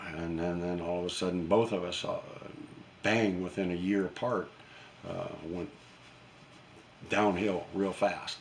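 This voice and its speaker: A man with a very deep, low pitch speaks at a fairly slow pace with fairly even intonation. Long, frequent pauses and audible room echo mark the recording. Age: 70s. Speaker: YouTuber and retired gunsmith. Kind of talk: casual vlog monologue. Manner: halting, many fillers and repeats.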